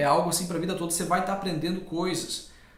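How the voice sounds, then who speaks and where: Through noticeable background noise and audible room echo, a man talks at a high pitch. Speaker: language learner co-host. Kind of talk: casual chat.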